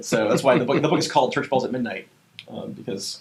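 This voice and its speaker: Speaking very fast, a man keeps to a medium pitch. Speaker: pastor and author. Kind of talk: casual chat.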